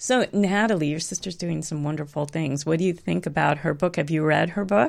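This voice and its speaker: Full of vocal fry, the animated, enthusiastic speech runs at a fairly quick pace with hardly any pauses on a very clean recording with a silent background. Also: woman, very deep, low pitch for a woman, ordinary pitch variation. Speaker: health coach and podcast host. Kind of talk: live interview conversation.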